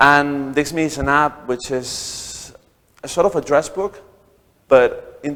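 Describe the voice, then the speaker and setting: The speaker is a man. He has a Spanish accent. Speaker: startup founder. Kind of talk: talk to an audience. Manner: halting, many repeated words.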